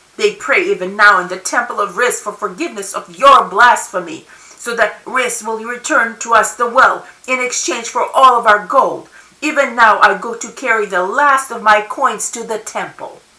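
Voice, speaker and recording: At a moderate pace, a woman puts on a character voice with a fairly high pitch and a hissing sound. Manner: hissing, bitter, angry.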